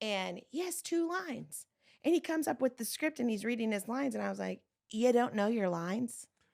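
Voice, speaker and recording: A woman speaks loudly at a fairly quick pace. Her fairly high pitch moves in very wide swings. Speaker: pastor. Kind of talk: casual chat. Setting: podcast. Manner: loud, expressive.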